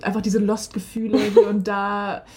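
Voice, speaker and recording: A woman talks at a moderate pace in a medium-pitched voice. Her voice is somewhat breathy. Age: 20s. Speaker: former exchange participant, political science graduate. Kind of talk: casual interview.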